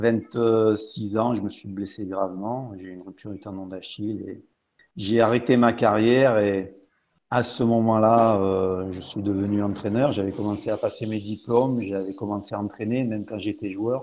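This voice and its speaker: Talking at a moderate pace, a man with a fairly low pitch keeps a monotone, flat intonation while his loudness swings widely. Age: 60s. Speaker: football coach. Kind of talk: interview. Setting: live stream talk show.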